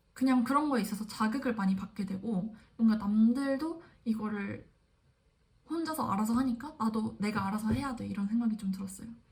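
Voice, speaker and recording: A woman talks in an unremarkable speaking voice, fairly high in pitch. Her pace is fairly quick and her pitch variation ordinary. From South Korea. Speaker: graduate student vlogger. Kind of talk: casual vlog monologue.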